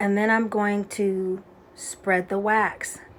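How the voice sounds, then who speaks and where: A soft-spoken woman's voice at medium pitch and a very slow pace. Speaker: beauty instructor. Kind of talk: tutorial.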